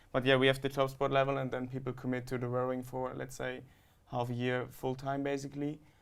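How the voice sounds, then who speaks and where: A man with a German accent speaks very fast at a medium pitch with monotone, flat intonation. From Germany. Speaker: student rower. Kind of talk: interview.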